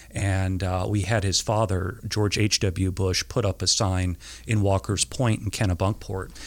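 At a fairly slow pace, a man speaks with a very deep, low pitch, ordinary pitch variation and very even loudness. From Maine (Camden). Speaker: political consultant. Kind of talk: interview. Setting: sitting across a table.

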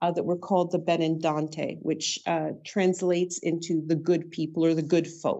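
In a plain, everyday voice, a woman speaks at a moderate pace with a fairly low pitch and a Canadian accent. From Canada, Toronto area. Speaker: author and paranormal researcher. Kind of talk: interview.

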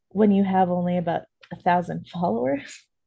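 The voice is somewhat breathy with a dark, mellow tone, moving at a moderate pace over a quiet background. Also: woman. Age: 30s. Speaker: podcast co-host. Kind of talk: casual chat.

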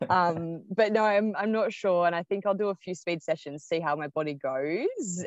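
A woman speaks in an Australian accent at a fairly low pitch with ordinary variation. She keeps a moderate pace, and the sound is dry and close with no echo. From Melbourne, Australia. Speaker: ultramarathon runner. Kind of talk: interview. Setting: remote call from the road.

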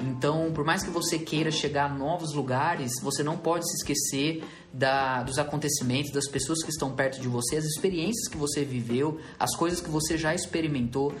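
The man's voice is fairly high with fairly even intonation. Audible room echo and noticeable background noise fill the recording. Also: moderate pace, hardly any pauses. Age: 20s. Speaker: pastor and podcast host. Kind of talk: casual chat.

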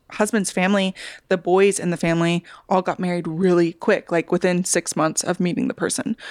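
A woman's ordinary speaking voice at a medium pitch and fairly quick pace, with fairly even intonation, on a very clean, dry, close recording with a silent background and no echo. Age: 30s. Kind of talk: casual chat.

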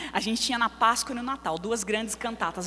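Noticeable background noise surrounds a woman's voice. She sounds animated and speaks at a fairly quick pace. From São Paulo, Brazil. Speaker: preacher. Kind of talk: sermon. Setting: church.

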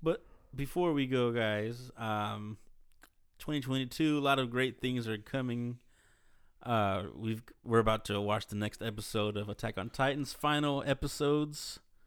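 In a very clean recording with a silent background, a plain, everyday voice with an American accent speaks at a moderate pace with ordinary pitch variation. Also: man, medium pitch for a man. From Dallas, Texas. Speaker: podcast co-host. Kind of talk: casual chat.

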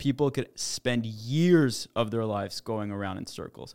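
In a very clean recording with a silent background, a man with a Canadian accent speaks in a plain, everyday voice at a medium pitch with ordinary pitch variation. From Quebec, Montreal. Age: 20s. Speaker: startup founder. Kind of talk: casual chat.

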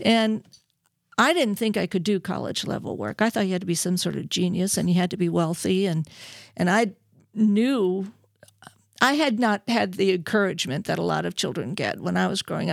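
In a very clean recording with a silent background, a woman with an American accent speaks fairly quickly at a medium pitch with ordinary pitch variation. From US Midwest, Milwaukee, later California. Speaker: radio host. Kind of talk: testimony. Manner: animated.

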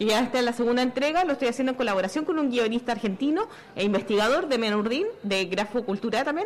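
Lively and very fast, a woman talks at a high pitch with very even loudness. Noticeable background noise sits behind her. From Chile. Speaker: comic artist and activist. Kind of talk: live radio talk show. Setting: outdoors at a fair.

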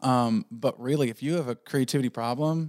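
A man's plain, everyday voice with an American accent, medium pitch, ordinary pitch variation and a fairly quick pace, in a very clean recording with a silent background and a dry, close sound with no echo. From southwestern Pennsylvania, near West Virginia border. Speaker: video production company owner. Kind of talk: casual chat.

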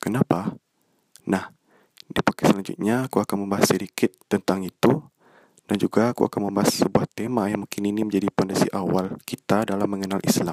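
In a dry, close sound with no echo, a man with a fairly low pitch talks at a fairly quick pace with fairly even intonation. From Indonesia, West Sumatra (Bukittinggi). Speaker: student podcaster. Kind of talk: casual monologue introduction. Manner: a bit stiff.

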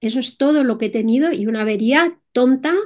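At a moderate pace, a woman with a Madrid accent talks in a high pitch with lively intonation. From Spain, Madrid. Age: 60s. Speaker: entrepreneur and solo motorcycle traveller. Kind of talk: interview.

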